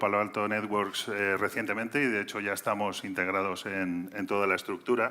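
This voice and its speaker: A man with a normal speaking voice, fairly low in pitch, at a fairly quick pace. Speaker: cybersecurity sales executive. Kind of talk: conference talk.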